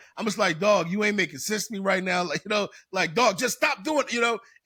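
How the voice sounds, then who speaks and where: A man with an American accent uses a raised, projected voice at a fairly quick pace. His tone is high, bright and sharp. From South Philadelphia. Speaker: personal development coach. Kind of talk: podcast interview. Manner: casual, halting with repetitions.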